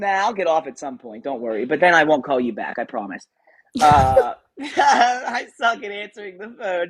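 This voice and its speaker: A man with an American accent speaks at a high pitch and a moderate pace. His pitch swings very widely, and his loudness shifts a lot. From Western Pennsylvania. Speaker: tattoo artist and streamer. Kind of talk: casual livestream chat. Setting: live stream at home. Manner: casual, filler-heavy.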